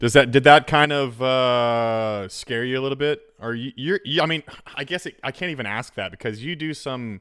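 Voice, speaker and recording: In a very clean recording with a silent background, a man with an unremarkable speaking voice talks at a moderate pace and medium pitch, using ordinary pitch variation and big swings in loudness. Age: 30s. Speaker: podcast host. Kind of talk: interview. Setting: livestream.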